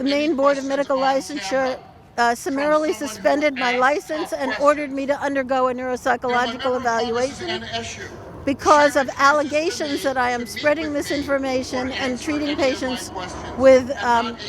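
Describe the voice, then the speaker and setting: Against noticeable background noise, a woman with a high voice speaks at a moderate pace with fairly even intonation. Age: 70s. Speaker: physician. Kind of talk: rally speech.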